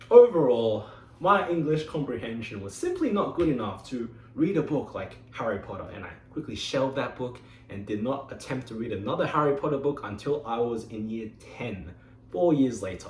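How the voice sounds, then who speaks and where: A man with an Australian accent at a fairly quick pace, loudness swinging widely, amid noticeable background noise and audible room echo. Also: medium pitch for a man. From Australia (Sydney). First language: Mandarin Chinese. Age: 20s. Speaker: engineer giving a club speech. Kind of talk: prepared speech.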